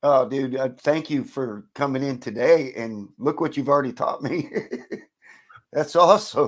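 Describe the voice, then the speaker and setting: This man has a normal speaking voice, fairly high in pitch, with ordinary pitch variation. He talks at a fairly slow pace. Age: 50s. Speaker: channel host, car garage creator. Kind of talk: casual chat. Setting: live stream video call.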